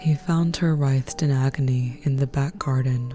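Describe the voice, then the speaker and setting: A woman at a very deep, low pitch with ordinary pitch variation, music in the background. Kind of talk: true crime story narration. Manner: soft-spoken.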